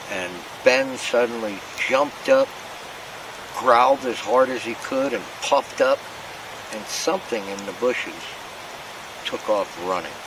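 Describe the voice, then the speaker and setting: Speaking at a fairly slow pace with long, frequent pauses, a man with an American accent and medium pitch shows big swings in loudness over noticeable background noise. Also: ordinary pitch variation. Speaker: camping vlogger. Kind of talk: casual vlog narration. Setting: outdoors at campsite.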